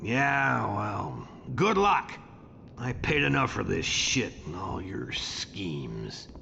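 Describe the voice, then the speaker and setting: Over clear background noise, a man puts on a character voice that is raspy and very deep, swinging very widely in pitch at a very slow pace. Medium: video game. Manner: bitter, coarse.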